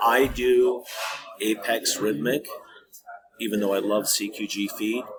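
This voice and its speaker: With an American accent, a man talks with long, frequent pauses over noticeable background noise. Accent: Midwest accent, still somewhat there. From Minnesota, US Midwest. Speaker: trading video creator. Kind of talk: casual tutorial. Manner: casual, hesitant with fillers.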